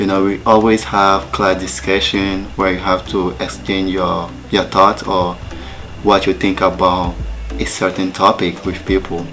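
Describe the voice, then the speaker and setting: With music in the background, a man with a French accent speaks in a very deep, low pitch. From Togo. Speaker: student. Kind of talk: personal talk.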